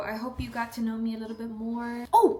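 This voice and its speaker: With an American accent and a fairly high pitch, a woman speaks amid noticeable background noise and audible room echo. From South Texas. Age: 20s. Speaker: lifestyle vlogger. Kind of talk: casual Q&A vlog. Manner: animated.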